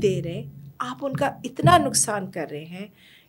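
A woman speaks in a Persian accent. Her pitch makes very wide swings. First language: Persian (speaking Hindi). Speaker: storyteller and educator; podcast guest, educator, storyteller. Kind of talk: interview conversation. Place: studio. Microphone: studio mic.

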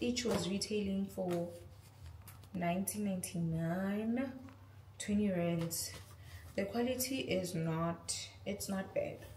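In a room with audible echo and light background noise, a woman speaks very slowly at a very even loudness, with long, frequent pauses. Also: ordinary pitch variation. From South Africa. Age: 20s. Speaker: lifestyle vlogger. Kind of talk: casual talk to camera, haul review. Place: kitchen.

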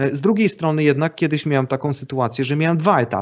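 Speaking at a fairly quick pace, a man uses an ordinary speaking voice with ordinary pitch variation. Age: 40s. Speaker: photographer. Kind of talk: casual chat.

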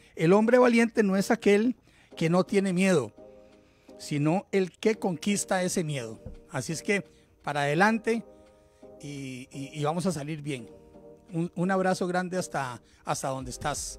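Faint music sits in the background as a man speaks at a fairly slow pace with a high pitch. He leaves long, frequent pauses. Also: dry sound with no echo. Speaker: podcast host. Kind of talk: podcast host chat. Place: studio. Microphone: studio mic.

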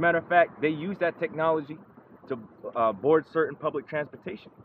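There is noticeable background noise behind this man. His voice sits fairly high in pitch. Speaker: street preacher. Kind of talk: sermon.

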